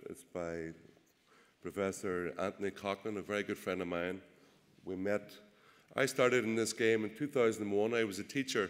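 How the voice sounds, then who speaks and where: A man speaks with a Northern Irish accent at a moderate pace. He leaves long, frequent pauses. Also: fairly low pitch for a man, ordinary pitch variation. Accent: Derry. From Northern Ireland, Derry. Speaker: politician and press officer. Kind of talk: political speech. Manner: hesitant, many fillers.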